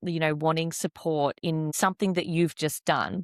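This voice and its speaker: Moderate pace and fairly even intonation on a very clean recording with a silent background, the sound dry and close with no echo. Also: woman. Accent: Australian. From Australia, Perth. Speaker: podcast host. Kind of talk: casual interview chat.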